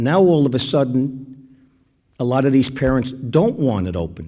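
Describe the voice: A man talks at a fairly slow pace in a medium-pitched voice. His tone is dark and mellow, and his intonation is lively.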